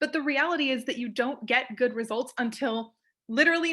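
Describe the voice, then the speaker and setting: Speaking fairly quickly in a raised, projected voice, a woman has a high pitch, a bright, sharp tone and ordinary pitch variation. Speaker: undergraduate honors student. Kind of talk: panel discussion.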